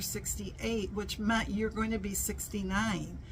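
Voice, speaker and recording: Audible room echo surrounds a woman who talks at a moderate pace. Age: 60s. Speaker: vlogger. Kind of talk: casual chat. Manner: animated.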